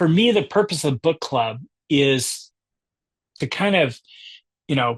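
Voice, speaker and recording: With lively intonation and a somewhat breathy quality, the speech moves along at a moderate pace. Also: man. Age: 60s. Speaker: book club founder and discussion leader. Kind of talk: book discussion presentation.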